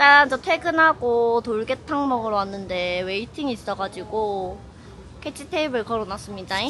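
The tone is playful, bright and sharp, with lively intonation. The pace is moderate. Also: woman, fairly high pitch for a woman. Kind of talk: casual vlog talk to camera. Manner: casual, playful.

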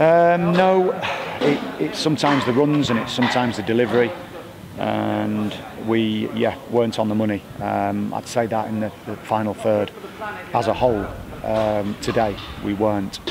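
A man at a moderate pace with long, frequent pauses, dry sound with no echo and noticeable background noise. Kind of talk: interview answer. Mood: subdued, reflective after a disappointing result. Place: stadium. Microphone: handheld.

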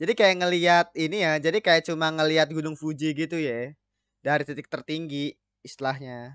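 Against a quiet background, a man speaks at a fairly quick pace with fairly even intonation, the sound dry with no echo. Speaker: anime reaction host. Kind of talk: casual reaction commentary. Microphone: studio mic.

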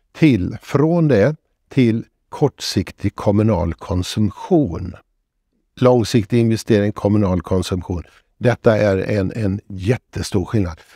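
Speaking at a very slow pace, a man with a fairly low pitch and ordinary pitch variation is heard in a dry sound with no echo against a quiet background. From Sweden, Borås (Västergötland); Sweden. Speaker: retired professor and author. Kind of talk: interview. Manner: hesitant, frequent filler sounds. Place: studio. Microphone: lapel.

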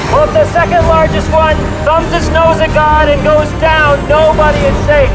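At a moderate speed, a man talks while loud music plays in the background. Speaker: street preacher. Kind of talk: open-air street preaching, shouted rebuke. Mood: stern, rebuking. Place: street. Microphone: camera far.

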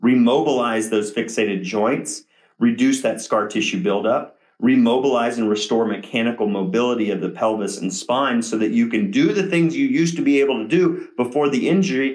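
Against a quiet background, a man with an American accent talks at a fairly quick pace with ordinary pitch variation. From Ohio, US Midwest. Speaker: chiropractor. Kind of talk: casual monologue to viewers, live-stream style. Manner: animated. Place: office. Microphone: camera far.

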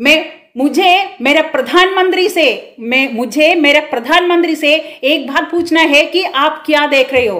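A woman speaks in an animated, bright, sharp tone at a high pitch with ordinary pitch variation. Her loudness stays very even against a quiet background. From Kerala, India. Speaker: political commentator, social media channel host. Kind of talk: political monologue / rant. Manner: impassioned, animated. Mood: earnest, indignant. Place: home room. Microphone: phone near.

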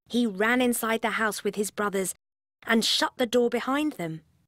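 At a moderate pace, a woman speaks at medium pitch, and the sound is dry and close with no echo.

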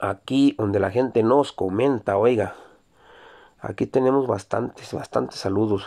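The dark, mellow voice moves at a fairly slow pace with fairly even intonation over a quiet background. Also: man, medium pitch for a man, very even loudness. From Mexico, Zacatecas. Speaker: YouTuber reading viewer greetings. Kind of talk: casual greetings show. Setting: Jalpa, Zacatecas. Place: car. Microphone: phone near.

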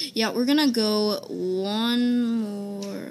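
A woman at a very slow pace over light background noise. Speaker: gaming video creator; gamer. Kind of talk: casual gameplay commentary. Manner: halting, many fillers. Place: home room. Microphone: phone near.

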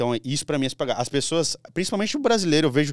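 Against a quiet background, someone talks at a very fast pace in a dry sound with no echo. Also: man. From Brazil. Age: 20s. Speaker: lawyer turned digital marketer and finance creator; podcast guest. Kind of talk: casual podcast interview. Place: studio. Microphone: studio mic.

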